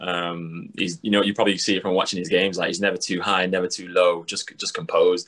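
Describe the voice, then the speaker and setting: In a Mancunian accent, a man with a very deep, low pitch talks at a very fast pace in a monotone, flat way, with hardly any pauses against a quiet background. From Manchester, England. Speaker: professional basketball player; guest. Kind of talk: casual chat. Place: home room. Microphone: video call.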